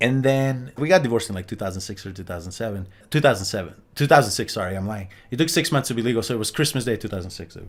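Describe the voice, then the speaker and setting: A man with a Slovenian accent talks very fast at medium pitch, with lively intonation and big swings in loudness, on a very clean recording with a silent background. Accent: noticeable Slovenian. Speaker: immigrant interviewee. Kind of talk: casual podcast interview.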